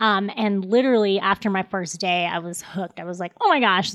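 On a very clean recording with a silent background, a woman with an American accent speaks at a moderate pace. She has a normal speaking voice, medium pitch and fairly even intonation. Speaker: dietitian. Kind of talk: casual podcast interview.

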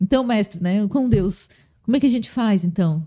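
Heard on a very clean recording with a silent background, a woman uses an ordinary speaking voice. Her medium pitch has ordinary variation, and her pace is fairly quick. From Blumenau, Santa Catarina, southern Brazil. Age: 30s. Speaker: pastor. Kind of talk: casual interview.

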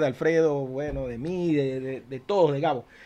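A man's pitch varies in an ordinary way as he keeps a moderate pace, the background quiet. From Venezuela, Zulia eastern coast. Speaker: podcast co-host, musician. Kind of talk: casual chat. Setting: studio.

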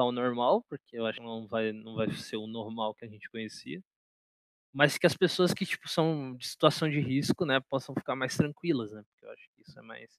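A man's voice at medium pitch, a normal speaking voice with ordinary pitch variation, dry and close with no echo. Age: 20s. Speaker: podcast co-host, journalism student. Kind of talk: casual chat.

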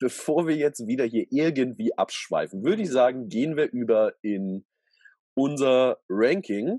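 A man with a medium pitch and a dark, mellow tone talks at a fairly slow pace with lively intonation. The sound is dry and close with no echo, against a quiet background. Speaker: podcast co-host, youth camp leader. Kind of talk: casual chat.

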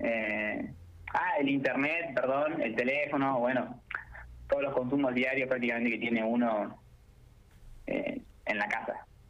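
A man is speaking, with long, frequent pauses. Room echo is audible. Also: medium pitch for a man, ordinary pitch variation, fairly slow pace. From Argentina, La Pampa. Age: young. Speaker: architecture student. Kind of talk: radio interview.

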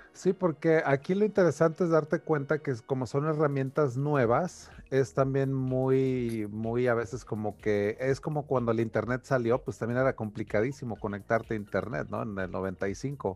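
At a moderate pace, a man speaks with hardly any pauses. His medium-pitched voice has lively intonation. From Mexico, Taxco (Guerrero). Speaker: crypto podcast host. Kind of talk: casual chat. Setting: video call.

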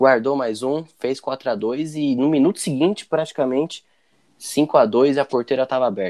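Recorded with a dry, close sound and no echo, an ordinary speaking voice moves at a moderate pace with ordinary pitch variation. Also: man, medium pitch for a man. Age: 20s. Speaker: sports podcast host. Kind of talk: casual chat.

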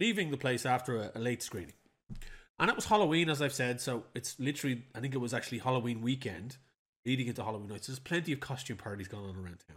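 Speaking at a very fast pace, a man keeps a medium pitch with ordinary pitch variation. The recording is very clean, with a silent background. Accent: Irish. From Ireland. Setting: home recording.

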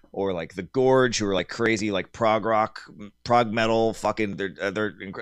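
A plain, everyday voice from a man at medium pitch, with an American accent and a moderate pace, on a very clean recording with a silent background. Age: 40s. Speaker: metal musician. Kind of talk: casual interview.

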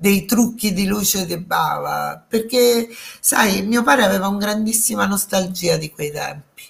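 With ordinary pitch variation, a plain, everyday voice proceeds at a fairly slow pace. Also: woman, medium pitch for a woman. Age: 60s. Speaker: daughter of a film director, interview guest. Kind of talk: casual interview chat.

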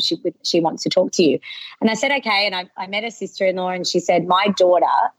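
Ordinary pitch variation in an Australian accent. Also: woman. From western Sydney, Australia. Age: 30s. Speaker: local business owner. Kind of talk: interview.

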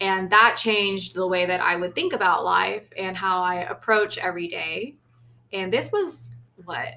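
A woman with an American accent, medium pitch, a bright, sharp tone, fairly even intonation and a moderate pace. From US, Lao heritage. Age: 20s. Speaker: podcast co-host. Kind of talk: casual chat.

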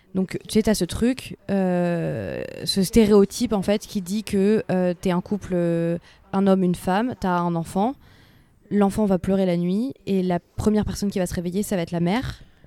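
Her voice has a dark, mellow tone at medium pitch, and this woman keeps a fairly even intonation at a moderate pace. The recording is very clean with a silent background, and the sound is dry and close with no echo. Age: 20s. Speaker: podcast co-host. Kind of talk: casual chat. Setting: outdoors at night.

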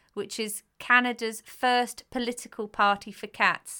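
Bright and sharp in tone, the speaker uses a British accent at a fairly slow pace with fairly even intonation, on a very clean recording with a silent background. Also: woman. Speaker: podcast co-host. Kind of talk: casual chat between mother and daughter.

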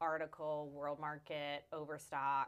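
A woman speaks in an animated tone. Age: 30s. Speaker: interior designer and podcast co-host. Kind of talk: casual chat.

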